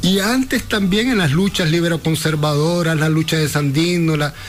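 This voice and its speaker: Noticeable background noise under a man's voice, its pitch varying in an ordinary way. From Nicaragua. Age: 60s. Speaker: radio interview guest, social commentator. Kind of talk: radio interview, political discussion.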